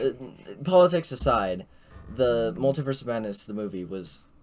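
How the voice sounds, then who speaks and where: With music playing behind him, a man speaks fairly quickly and with lively intonation. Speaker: podcast host. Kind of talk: casual chat. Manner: halting.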